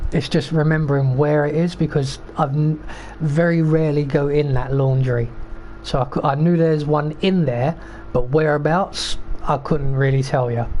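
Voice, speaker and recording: The speaker talks at a moderate pace. The accent is British. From Britain. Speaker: video game streamer. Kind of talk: gameplay commentary. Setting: live stream. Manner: casual, rambling with fillers.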